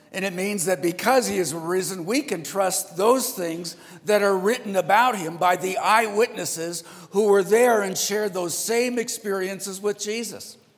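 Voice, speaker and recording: Noticeable background noise sits behind this recording. A man with a high pitch speaks at a moderate pace with ordinary pitch variation. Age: 60s. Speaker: pastor. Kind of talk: sermon. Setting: church.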